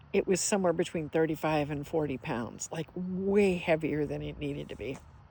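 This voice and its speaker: With a dark, mellow tone and vocal fry, the voice moves at a moderate pace with ordinary pitch variation, captured in a very clean recording with a silent background. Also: woman, very deep, low pitch for a woman. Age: 60s. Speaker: hiker and vlogger. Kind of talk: casual vlog monologue. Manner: halting, many fillers and restarts.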